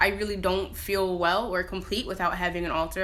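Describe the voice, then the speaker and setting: In an American accent, a woman speaks fairly quickly at a medium pitch with a bright, sharp tone. Her intonation is fairly even, and the room echo is audible. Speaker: spiritual practitioner vlogger. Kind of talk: casual talk to camera. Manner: fast; informal, many fillers.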